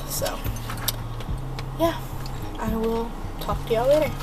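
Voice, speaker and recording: Music sounds in the background. Over it, a woman speaks at a moderate speed. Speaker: vlogger. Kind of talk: casual vlog chat. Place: car. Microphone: phone near.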